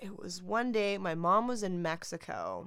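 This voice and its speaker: A woman with an unremarkable speaking voice. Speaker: podcast co-host. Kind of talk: casual chat.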